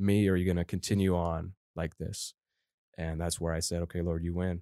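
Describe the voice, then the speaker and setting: In a very clean recording with a silent background and a dry, close sound with no echo, a man with an American accent talks fairly quickly in a very deep, low pitch with monotone, flat intonation. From Colorado. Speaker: church intern. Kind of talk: interview testimony.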